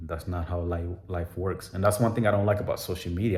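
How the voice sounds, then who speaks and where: Audible room echo surrounds a man with a very deep, low pitch. His voice is somewhat breathy, and he speaks at a fairly quick pace. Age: 30s. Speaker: vlogger. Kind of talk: personal vlog monologue. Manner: casual, filler-heavy.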